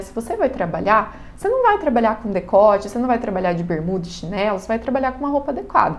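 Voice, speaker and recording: A woman's lively intonation with audible room echo. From Brazil, countryside (interior). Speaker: catechism teacher. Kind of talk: lecture. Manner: casual, conversational.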